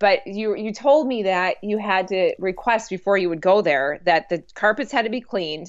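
A woman with an ordinary speaking voice, a fairly high pitch and lively intonation. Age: 40s. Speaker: fitness instructor. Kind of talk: casual chat.

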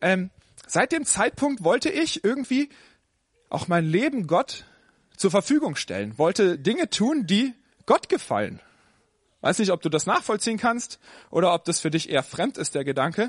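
At a moderate pace, the voice moves through very wide pitch swings with long, frequent pauses, the sound dry and close with no echo. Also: man, high pitch for a man. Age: 30s. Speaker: pastor. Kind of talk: sermon. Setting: church service with audience. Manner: casual, conversational.

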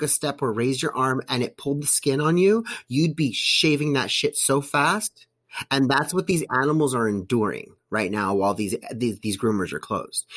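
An ordinary speaking voice with an American accent moves at a moderate pace with lively intonation. The recording is very clean, with a silent background. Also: man. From US, suburbs. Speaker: podcast host, political commentator. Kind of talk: casual chat.

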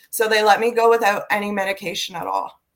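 A woman with a Canadian accent and an ordinary speaking voice talks at a medium pitch and a fairly quick pace. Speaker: prison reform advocate, former inmate. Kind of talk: casual interview.

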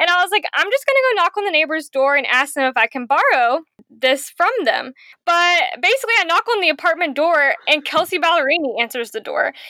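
A raised, projected voice with an American accent and a bright, sharp tone rushes at a fairly quick pace through very wide pitch swings, in a dry, close sound with no echo. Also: woman, extremely high pitch for a woman. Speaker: podcast guest. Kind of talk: casual chat. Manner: animated.

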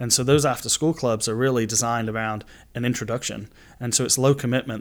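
A speaker with a Manchester accent talks at a very fast pace in monotone, flat intonation. The recording is very clean with a silent background. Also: man. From England, Manchester. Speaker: youth soccer club director. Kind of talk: casual interview.

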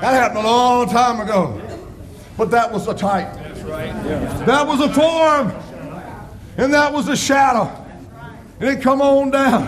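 Amid noticeable background noise, a man with an extremely high pitch speaks at a fairly slow pace, with ordinary pitch variation and long, frequent pauses. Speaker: preacher. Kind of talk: sermon. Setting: church. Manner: fervent, rolling preacher's cadence, building to exclamations; emotional, personal, testimony-like warmth.

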